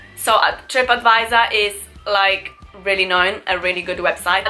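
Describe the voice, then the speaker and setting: A woman of medium pitch talks at a moderate pace with fairly even intonation while music plays in the background. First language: not English. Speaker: travel and beauty vlogger. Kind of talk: casual talk to camera.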